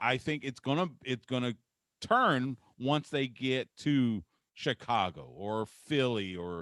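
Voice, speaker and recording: Lively intonation in a dry, close sound with no echo, on a very clean recording with a silent background. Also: man. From Texas. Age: 50s. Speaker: sports radio host. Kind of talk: casual interview chat.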